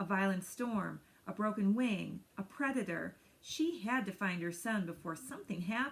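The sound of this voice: The reading here is done in an unforced reading voice.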